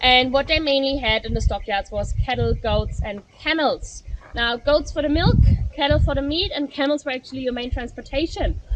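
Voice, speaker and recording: Over noticeable background noise, a woman with a German accent speaks at a high pitch with ordinary variation. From Germany. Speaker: tour guide. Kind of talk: guided tour talk. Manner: fast.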